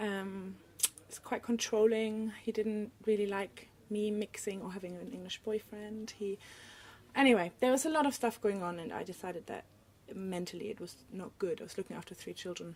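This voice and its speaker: A woman with a German accent at a moderate pace, with big swings in loudness. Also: medium pitch for a woman, ordinary pitch variation. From Germany. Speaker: illustrator. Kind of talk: casual interview chat.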